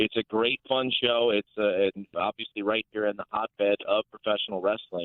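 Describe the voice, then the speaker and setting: A man speaks at a moderate pace and a fairly low pitch. It is a normal speaking voice. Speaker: ring announcer and commentator; college professor. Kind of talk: interview answer.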